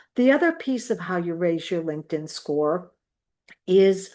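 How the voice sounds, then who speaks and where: A woman talks at a moderate pace in a normal speaking voice, her intonation lively. The background is quiet. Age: 60s. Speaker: education consultant and community organizer. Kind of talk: casual explainer talk. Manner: conversational, with fillers.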